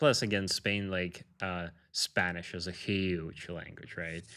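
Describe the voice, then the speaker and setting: Very slow and very deep, low in pitch, a man talks with a bright, sharp tone. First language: Russian. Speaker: podcast host. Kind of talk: podcast interview.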